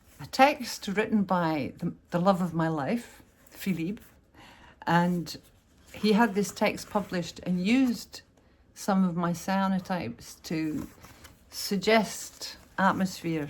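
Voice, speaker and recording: With a Scottish accent, a woman speaks at a very slow pace with long, frequent pauses, a medium pitch, ordinary pitch variation and a somewhat breathy quality. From Scotland. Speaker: artist. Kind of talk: tutorial. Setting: home art studio. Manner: casual, chatty with hesitations.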